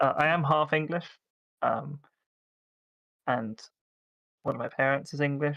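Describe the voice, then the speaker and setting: A man with an English accent speaks at a moderate pace in a fairly high pitch and a bright, sharp tone. His intonation stays fairly even, with long, frequent pauses. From South Africa. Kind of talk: casual chat. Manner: hesitant, many fillers.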